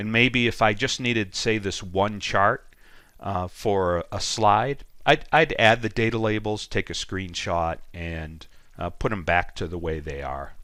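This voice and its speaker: A man's fairly low, bright, sharp voice with lively intonation at a fairly slow pace, in a very clean recording with a silent background. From Boston, USA. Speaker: data analytics trainer. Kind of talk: software tutorial screencast. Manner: casual, with frequent ums and ahs.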